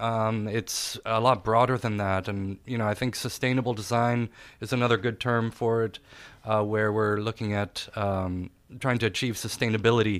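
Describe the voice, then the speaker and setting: A man's medium-pitched speech holds a moderate pace in monotone, flat intonation. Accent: German. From Austria. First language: German. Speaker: architect. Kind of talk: interview. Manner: halting, many fillers.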